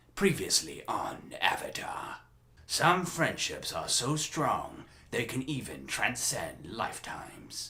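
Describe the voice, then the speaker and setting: A man's raspy, put-on character voice at a fairly slow pace. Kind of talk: character voice impressions. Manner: solemn.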